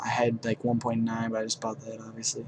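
A man at medium pitch talks as noticeable noise carries in the background. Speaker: gaming YouTuber. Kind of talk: gameplay commentary. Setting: home recording.

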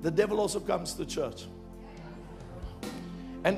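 Over clear music in the background, a man talks at a fairly quick pace with lively intonation. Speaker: preacher, church minister; preacher. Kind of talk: sermon preached to a congregation. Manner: energetic, emphatic, conversational. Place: stage. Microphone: handheld.

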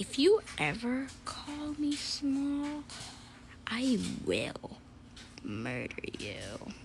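A cartoonish character voice moves at a very slow pace with long, frequent pauses. Clear background noise is audible. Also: female-sounding voice. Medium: puppet show. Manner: menacing, sulky.

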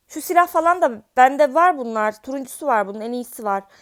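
The recording is very clean, with a silent background. A woman speaks in a high pitch with an animated tone. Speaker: gaming youtuber. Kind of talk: gameplay commentary.

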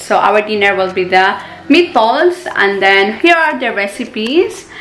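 A woman speaks at a very slow pace with very wide pitch swings. Light background noise is present. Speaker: home cooking vlogger. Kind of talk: casual vlog chat. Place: kitchen. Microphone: phone near.

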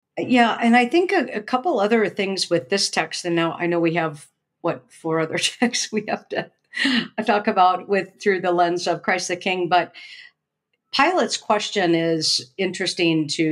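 A woman with a normal speaking voice talks at a moderate pace in a fairly low pitch, her pitch varying in an ordinary way, on a very clean recording with a silent background. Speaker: seminary professor, podcast co-host. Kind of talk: casual scholarly discussion of scripture.

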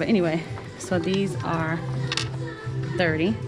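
A woman's voice with ordinary pitch variation over clear background music. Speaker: shopping vlogger. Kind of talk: casual vlog chat. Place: shop. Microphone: phone near.

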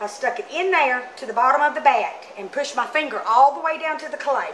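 The speech moves at a moderate pace with light background noise behind it. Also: woman. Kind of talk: tutorial. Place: workshop.

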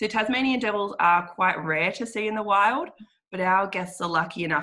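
Over a quiet background, a woman with an Australian accent speaks in a bright, sharp tone with ordinary pitch variation. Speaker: guided walk tour representative. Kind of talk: webinar presentation. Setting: video call. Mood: warm, promotional. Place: home room. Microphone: video call.

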